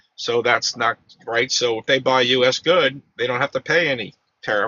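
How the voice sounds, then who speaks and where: Speaking at a moderate pace, a man with a normal speaking voice keeps a medium pitch and ordinary pitch variation. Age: 60s. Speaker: political commentator. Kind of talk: casual political debate.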